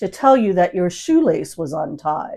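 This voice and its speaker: A woman's put-on character voice at medium pitch, full of very wide pitch swings. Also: moderate pace. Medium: read story. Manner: playful, teasing.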